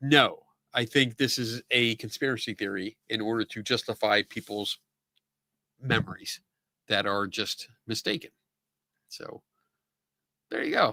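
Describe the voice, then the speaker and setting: With a Philadelphia accent, a man of medium pitch speaks with fairly even intonation and long, frequent pauses, in a dry, close sound with no echo. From Philadelphia area, US. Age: 50s. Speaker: live-stream talk show host. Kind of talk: casual live-stream chat answering viewer comments. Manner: casual, filler-heavy.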